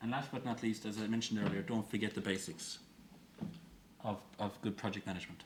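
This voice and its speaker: A man talks at a very fast pace, with long, frequent pauses. He has a strong Irish accent and a fairly low pitch. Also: ordinary pitch variation. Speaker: open innovation expert. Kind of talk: conference talk.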